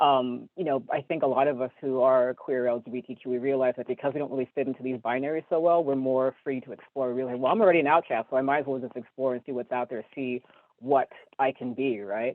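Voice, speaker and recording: An American man speaks at a very fast pace with a medium pitch and fairly even intonation. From California. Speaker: human rights lawyer. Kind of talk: interview.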